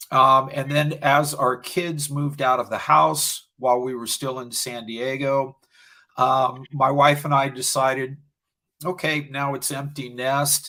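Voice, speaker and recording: A man with a fairly high pitch and a bright, sharp tone speaks at a fairly slow pace in a flat monotone. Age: 60s. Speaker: video producer, small business owner. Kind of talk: interview.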